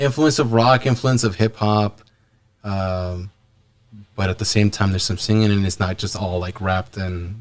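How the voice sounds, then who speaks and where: A man speaks in a Spanish accent at a fairly low pitch. His pace is moderate and his intonation fairly even. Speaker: musician. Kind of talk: casual interview chat. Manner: halting, many repeats.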